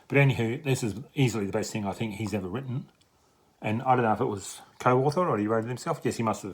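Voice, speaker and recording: A somewhat breathy man talks at a very fast pace. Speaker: book reviewer. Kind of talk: book review vlog.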